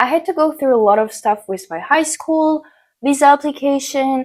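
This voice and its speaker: A woman's high voice with an Eastern European accent, fairly quick pace and lively intonation on a very clean recording with a silent background. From Ukraine. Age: young. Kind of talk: casual talk to camera. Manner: upbeat, motivational.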